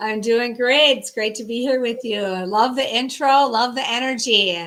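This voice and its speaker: This woman's fairly high pitch shows ordinary pitch variation as she talks at a moderate pace. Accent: Minnesota. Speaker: sales strategist and business founder. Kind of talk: interview.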